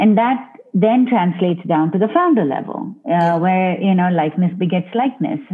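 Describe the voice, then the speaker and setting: A woman's lively intonation comes through at very even loudness amid noticeable background noise. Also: medium pitch for a woman, moderate pace. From India. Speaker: venture investor. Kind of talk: interview.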